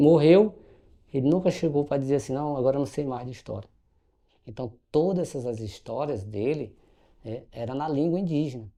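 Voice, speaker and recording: Long, frequent pauses break up a man's dark, mellow tone, and his loudness swings widely. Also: fairly high pitch for a man, ordinary pitch variation, moderate pace. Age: 50s. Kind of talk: panel talk, personal testimony. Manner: halting, many fillers and restarts.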